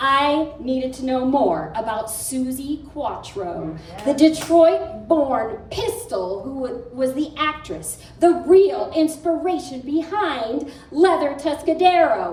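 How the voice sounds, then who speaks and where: A woman speaks at a high pitch with very wide pitch swings, very slowly and with hardly any pauses. Noticeable background noise is heard behind her. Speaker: poet. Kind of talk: spoken word poetry performance. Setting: live cafe audience.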